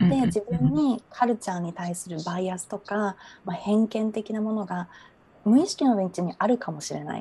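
Her tone dark and mellow, a woman speaks in a somewhat breathy voice with big swings in loudness. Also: medium pitch for a woman, ordinary pitch variation, moderate pace. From Japan, Fukuoka. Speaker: natural therapy practitioner. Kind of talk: interview. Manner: hesitant, many fillers.

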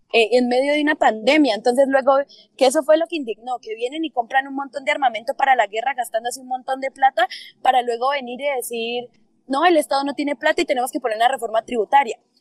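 Talking at a very fast pace, a woman uses a high pitch with ordinary pitch variation. The sound is dry and close, with no echo. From Colombia, Popayán (Cauca). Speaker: university student and activist. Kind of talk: interview about current protests.

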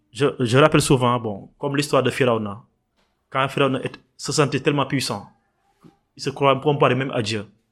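Fairly quick delivery with fairly even intonation and long, frequent pauses. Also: man, medium pitch for a man. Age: young. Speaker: environmental activist and artist. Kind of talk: interview. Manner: halting.

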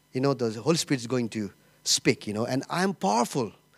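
With an unremarkable speaking voice, a man talks at a fairly quick pace with lively intonation, in a dry, close sound with no echo. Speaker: church planter and pastor. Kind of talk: sermon. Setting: church stage with audience.

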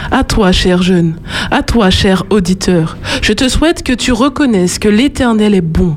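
A woman's medium-pitched voice at a very slow pace, with noticeable background noise. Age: 20s. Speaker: student and slam poet. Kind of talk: slam poetry performance.

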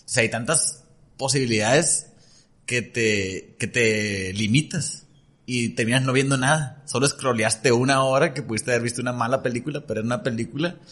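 Speaking at a moderate pace, a man has a plain, everyday voice at medium pitch with ordinary pitch variation. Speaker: nutritionist and entrepreneur. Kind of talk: casual chat.

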